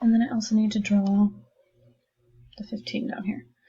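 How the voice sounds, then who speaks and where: Soft-spoken and somewhat breathy, a woman talks with a fairly high pitch and a dark, mellow tone. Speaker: math teacher. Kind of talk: tutorial. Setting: recorded lesson video. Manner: casual.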